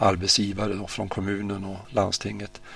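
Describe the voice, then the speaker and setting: Over noticeable background noise, a man speaks at a fairly low pitch. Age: 70s. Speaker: industry association chairman. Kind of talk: radio interview. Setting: studio.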